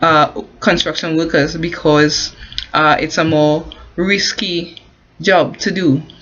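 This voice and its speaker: Speaking very slowly with long, frequent pauses, a woman with a Caribbean accent keeps a monotone, flat intonation. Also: fairly low pitch for a woman. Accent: non-US, Caribbean. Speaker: construction worker and online business promoter. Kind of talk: informal advice vlog. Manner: halting, many fillers and restarts.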